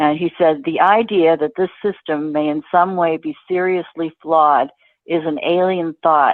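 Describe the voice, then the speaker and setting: A woman speaks with an American accent. Her pitch is very deep and low, with ordinary pitch variation. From Boston area, Massachusetts. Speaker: financial writer and journalist. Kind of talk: interview answer.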